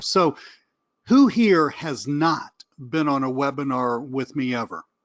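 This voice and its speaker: A man with a Southern US accent and a fairly high voice, against a quiet background. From US South. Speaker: online marketing trainer. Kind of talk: webinar presentation. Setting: live webinar. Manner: animated.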